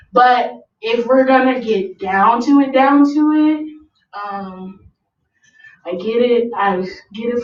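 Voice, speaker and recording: In a room with audible echo, a woman with a fairly high pitch speaks at a fairly slow pace, with ordinary pitch variation and long, frequent pauses. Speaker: rapper. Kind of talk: interview. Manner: loud.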